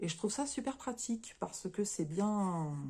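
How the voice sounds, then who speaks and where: Somewhat breathy and dark, mellow in tone, a woman speaks at medium pitch and a very slow pace, her pitch swinging very widely. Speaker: crafts YouTuber. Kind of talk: unboxing review. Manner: halting, stumbling.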